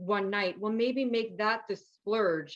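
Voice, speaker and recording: Woman with a New York accent and fairly even intonation. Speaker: nutrition and wellness coach, author. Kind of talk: interview. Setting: podcast.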